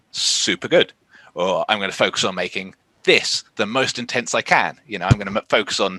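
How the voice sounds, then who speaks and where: His tone comes across bright and sharp. The man's delivery runs at a fairly quick pace. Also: dry, close sound with no echo. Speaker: professional wrestler. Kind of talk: interview. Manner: quiet.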